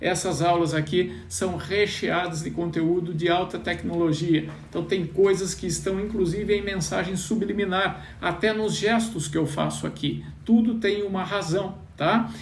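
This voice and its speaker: The speech runs with hardly any pauses and fairly even intonation, over audible room echo and noticeable background noise. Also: man, high pitch for a man. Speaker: financial mindset coach. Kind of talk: live online class. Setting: Instagram live stream.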